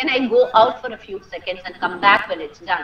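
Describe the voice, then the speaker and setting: A woman's high-pitched voice at a fairly quick pace, against noticeable background noise. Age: 60s. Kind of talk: talk to parents.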